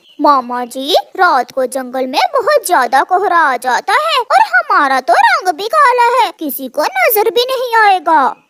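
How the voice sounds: In a cartoonish character voice with extremely high pitch and very wide pitch swings, the speaker keeps a moderate pace with hardly any pauses.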